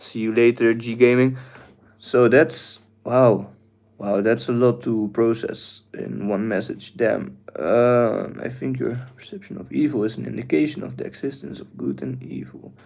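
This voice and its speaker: In a very clean recording with a silent background, a man with a Dutch accent speaks at a fairly slow pace with big swings in loudness. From Netherlands. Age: 20s. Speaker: livestreamer. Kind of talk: live stream chat. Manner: hesitant, many fillers.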